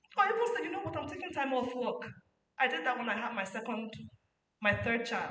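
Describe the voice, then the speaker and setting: A woman's high-pitched voice with very wide pitch swings, a fairly quick pace, long, frequent pauses and audible room echo. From Nigeria, Lagos. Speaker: parenting speaker. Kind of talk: conference talk.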